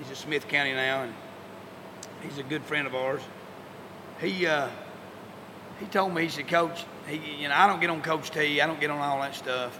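With an American accent, a man speaks at a moderate pace with a fairly high pitch for a man and long, frequent pauses, amid audible room echo and noticeable background noise. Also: fairly even intonation. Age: 50s. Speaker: high school football coach. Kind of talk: interview. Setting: locker room. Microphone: poor audio quality.

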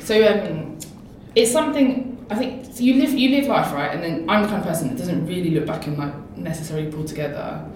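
Over noticeable background noise and audible room echo, a woman with a London accent speaks with very wide pitch swings. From East London. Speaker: tech charity founder. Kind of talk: interview.

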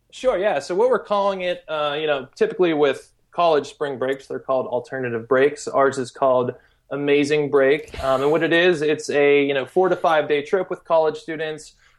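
A man's plain, everyday voice, fairly high in pitch, with ordinary pitch variation and a moderate pace. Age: 30s. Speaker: volunteer travel company founder. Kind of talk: interview. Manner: casual, many fillers and repetitions.

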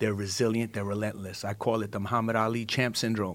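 A man's fairly low, monotone voice with flat intonation, a New York accent, and a fairly quick pace. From Brooklyn, New York. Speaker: entertainment manager. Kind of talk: panel discussion. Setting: studio.

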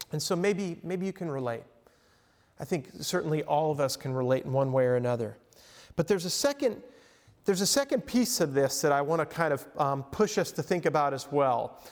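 A man's fairly high voice in an American accent, at a fairly quick pace with lively intonation. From Long Island, New York. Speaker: professor and counselor. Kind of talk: lecture. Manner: casual, halting with repetitions.

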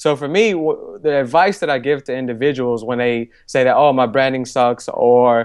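With an American accent, a man talks at a moderate pace and a medium pitch. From Chicago, US Midwest. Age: 20s. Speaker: author and entrepreneur. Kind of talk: podcast interview. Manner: animated.

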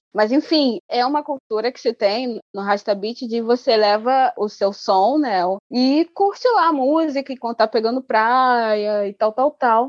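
A woman's high voice in a Rio de Janeiro accent, fairly slow yet with hardly any pauses, with ordinary pitch variation and a dry, close sound with no echo. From Angola. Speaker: menstrual educator, body researcher. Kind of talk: casual interview chat.

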